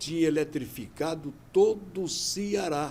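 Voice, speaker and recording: A man speaks here with a fairly high pitch. His tone is dark and mellow. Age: 70s. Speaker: interviewee. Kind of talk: interview testimony. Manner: conversational.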